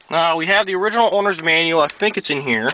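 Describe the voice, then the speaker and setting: A man with an American accent talks at a moderate pace, his pitch varying in an ordinary way, while noticeable background noise carries on behind him. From New York (Greenwich). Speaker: vehicle owner vlogger. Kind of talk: casual walkaround video. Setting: outdoors. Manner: casual, hesitant with fillers.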